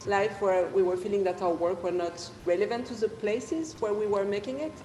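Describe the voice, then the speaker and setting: A woman with a French accent speaks at a medium pitch, with audible room echo and noticeable background noise. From France. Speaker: dancer and choreographer. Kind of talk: panel discussion. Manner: halting.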